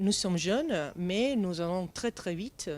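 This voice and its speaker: Speaking with a non-native accent, a woman has a fairly low pitch. Her pitch variation is ordinary. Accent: foreign accent in French. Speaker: start-up founder. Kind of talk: interview. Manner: halting.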